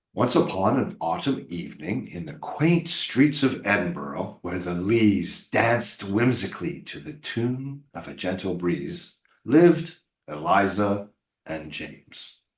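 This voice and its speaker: A man does a put-on, robotic character voice at a fairly low pitch with very wide pitch swings and big swings in loudness. He speaks at a fairly slow pace. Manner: flat robotic monotone reading without expression.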